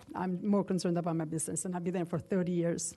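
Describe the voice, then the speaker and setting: Somewhat breathy, this woman has a fairly low pitch and a dark, mellow tone. She speaks with a non-native accent. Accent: foreign accent, noticeable. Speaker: local business owner speaking at public comment. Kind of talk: public comment at township meeting. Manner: halting, many fillers.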